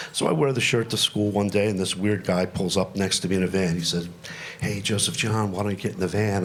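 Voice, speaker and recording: Over noticeable background noise and audible room echo, a man speaks at a fairly quick pace with a fairly low pitch. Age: 60s. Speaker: comedian. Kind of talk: stand-up. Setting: stage with audience.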